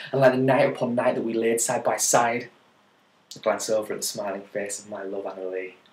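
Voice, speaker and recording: With an ordinary speaking voice, a man talks at a fairly quick pace and with ordinary pitch variation. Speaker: poet. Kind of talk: poetry reading.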